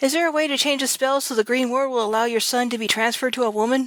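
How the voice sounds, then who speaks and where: A woman does a put-on character voice, gruff and growling at a high pitch. She speaks at a very fast pace with fairly even intonation. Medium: read story. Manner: gruff, growling.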